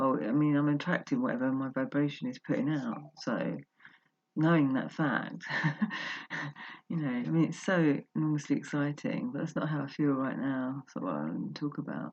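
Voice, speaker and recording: Soft-spoken delivery at a moderate pace, against a quiet background. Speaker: personal vlogger. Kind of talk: casual monologue. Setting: at home, just got up. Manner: halting.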